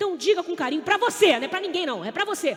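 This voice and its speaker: The tone is animated, with very wide pitch swings. Background noise is noticeable. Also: woman. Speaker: preacher. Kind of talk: sermon. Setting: stage with audience.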